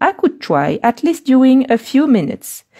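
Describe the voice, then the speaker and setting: This woman's somewhat breathy voice has a dark, mellow tone, captured with a dry, close sound and no echo. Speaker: colouring artist and video creator. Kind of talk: live stream chat while colouring. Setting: live video stream. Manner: fast speech in French.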